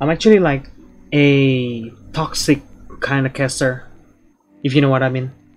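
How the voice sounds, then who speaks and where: Fairly slow speech from a man, broken by long, frequent pauses. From Indonesia. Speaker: game streamer. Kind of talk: casual chat. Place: home room. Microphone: headset.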